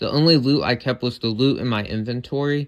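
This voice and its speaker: On a very clean recording with a silent background, a man speaks at a fairly slow pace with fairly even intonation. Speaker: gaming YouTuber. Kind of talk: gameplay commentary.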